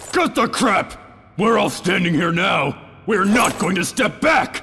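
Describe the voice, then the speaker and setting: A man's high-pitched voice, fairly slow, with lively intonation. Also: very even loudness. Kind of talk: defiant battle taunts. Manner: blunt, angry, shouting.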